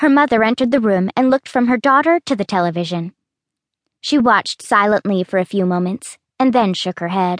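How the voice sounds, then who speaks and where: A woman's normal speaking voice at a fairly high pitch, fairly quick and with lively intonation, in a dry, close sound with no echo over a quiet background. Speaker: audiobook narrator. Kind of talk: dramatic audiobook narration with character voices. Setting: studio. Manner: wry, conversational asides to the listener.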